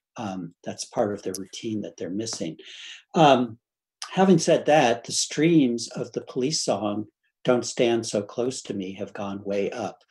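Against a quiet background, a man speaks at a fairly slow pace with lively intonation and big swings in loudness. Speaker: music history professor. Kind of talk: panel discussion. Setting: video call. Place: home room.

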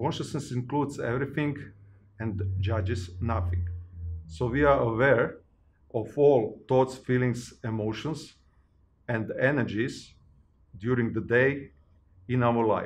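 At a fairly slow pace, a man speaks in a somewhat breathy voice, leaving long, frequent pauses. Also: ordinary pitch variation. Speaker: personal growth facilitator. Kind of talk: interview answer. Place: home room.

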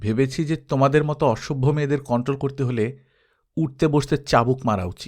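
In an unforced reading voice with ordinary pitch variation, the speaker talks over a quiet background.

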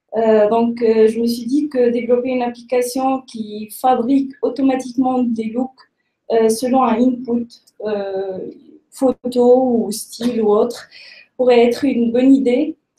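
In a room with audible echo, a woman with a high pitch speaks at a very slow pace in a monotone, flat intonation. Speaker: startup founder. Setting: stage with audience. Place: meeting room. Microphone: webcam.

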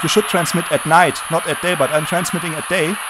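Over clear background noise, a man with a fairly high pitch speaks at a fairly quick pace with fairly even intonation.

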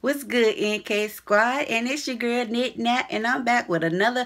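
A woman talks at a moderate speed. Nothing much can be heard behind her. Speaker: vlogger. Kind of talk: casual vlog chat. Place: home room. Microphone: phone near.

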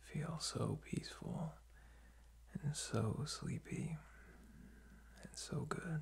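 Soft-spoken, a man talks at a very slow pace. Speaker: sleep-relaxation host. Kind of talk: soft-spoken sleep guidance, ASMR-like. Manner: soft, sleepy, drowsy murmur. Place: home room. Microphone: phone near.

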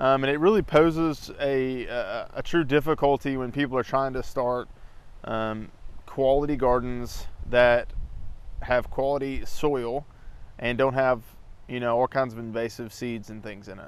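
Speaking at a fairly slow pace, a man keeps his intonation fairly even. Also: dry sound with no echo. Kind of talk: casual tutorial vlog. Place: garden. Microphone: lapel.

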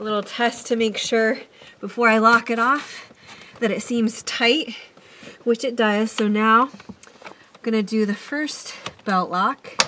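Amid light background noise, a woman talks at a fairly slow pace with long, frequent pauses and fairly even intonation. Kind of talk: tutorial narration. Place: car. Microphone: phone near.

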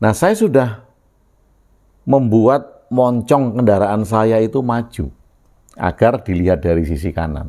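A man's dark, mellow voice with lively intonation, a fairly slow pace, long and frequent pauses, and a quiet background. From Yogyakarta, Java, Indonesia. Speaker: video blogger sharing reflections. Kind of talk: reflective monologue. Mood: calm, thoughtful. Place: home room. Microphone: lapel.

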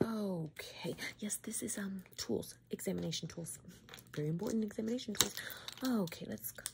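Vocal fry runs through a woman's speech, which has ordinary pitch variation. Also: medium pitch for a woman, moderate pace.

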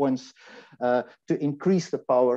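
The man's tone is dark and mellow, with ordinary pitch variation. He speaks at a moderate pace against a quiet background. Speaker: engineering lecturer. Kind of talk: conference presentation with live demo. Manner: halting, many repetitions. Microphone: video call.

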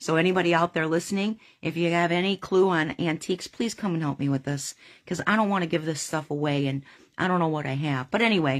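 A woman with a fairly low pitch talks at a very fast pace, her pitch varying in an ordinary way. The background is quiet. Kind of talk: casual storytelling to camera. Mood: earnest, slightly exasperated. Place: home room. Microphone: phone near.

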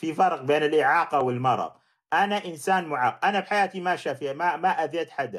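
The man talks at a moderate pace with a fairly high pitch and ordinary pitch variation. His tone is animated, over a quiet background. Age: middle-aged. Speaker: livestream host, critic of Islamic law. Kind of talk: livestream debate with callers.

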